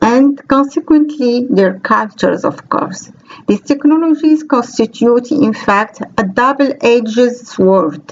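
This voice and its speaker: A woman speaks at a very slow pace with hardly any pauses, her high voice carrying lively intonation at very even loudness. Noticeable background noise sits behind her. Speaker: computer science researcher. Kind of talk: conference talk. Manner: formal.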